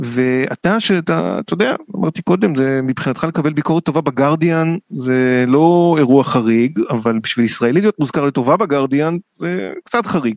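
A man speaks in a plain, everyday voice at a fairly high pitch and a moderate pace, with lively intonation. The sound is dry and close, with no echo. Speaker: radio culture show host. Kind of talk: casual radio interview. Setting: radio studio.

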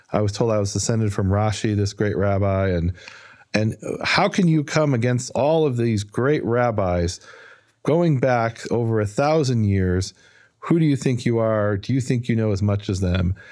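An ordinary speaking voice with an American accent moves at a moderate pace, with ordinary pitch variation. Loudness stays very even over a quiet background. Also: man, medium pitch for a man. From US Midwest, Chicago north side. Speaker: biblical scholar. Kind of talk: interview. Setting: studio.

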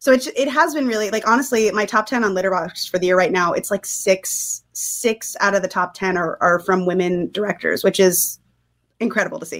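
Over a silent background in a very clean recording, a woman with an ordinary speaking voice talks at a fairly quick pace, medium in pitch with ordinary pitch variation. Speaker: film critic. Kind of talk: film discussion.

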